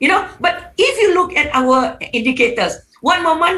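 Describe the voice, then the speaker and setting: Raising and projecting her voice, a woman talks with lively intonation. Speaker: economics professor, panelist. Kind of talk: webinar panel talk. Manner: halting, many fillers.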